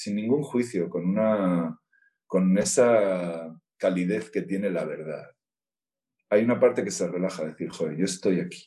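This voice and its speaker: This man's voice is fairly low, with a dark, mellow tone, ordinary pitch variation and a fairly slow pace. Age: 50s. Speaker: therapist. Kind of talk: casual interview. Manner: halting.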